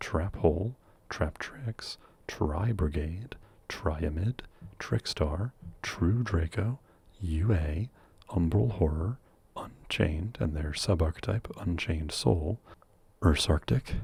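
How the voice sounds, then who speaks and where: A soft-spoken man's very deep, low, somewhat breathy voice at a very slow pace, with long, frequent pauses, in a dry, close sound with no echo. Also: lively intonation. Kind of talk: ASMR question and answer talk.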